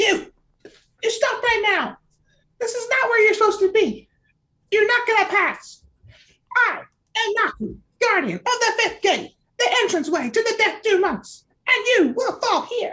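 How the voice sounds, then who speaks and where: A female-sounding, put-on character voice sits at an extremely high pitch. Long pauses come often. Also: moderate pace. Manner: commanding, threatening, raised voice.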